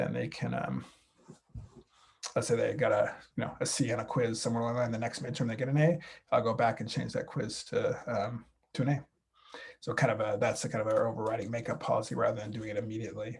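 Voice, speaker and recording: A man talks at a very fast pace broken by long, frequent pauses. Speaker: high school math teacher. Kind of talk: recorded talk to parents. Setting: recorded video.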